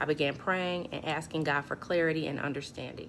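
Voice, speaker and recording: Shaky and very deep, this woman's voice moves at a moderate pace with ordinary pitch variation. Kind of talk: personal testimony talk to camera.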